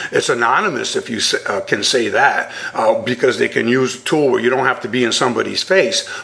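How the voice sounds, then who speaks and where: A man speaks at a fairly quick pace with hardly any pauses. Noticeable background noise runs underneath. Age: 60s. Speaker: bullying expert. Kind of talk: radio interview. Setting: radio show.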